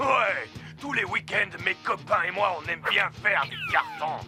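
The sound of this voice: A man puts on a cartoonish character voice, high-pitched with a bright, sharp tone and big pitch swings. He speaks at a fairly slow pace over faint music in the background.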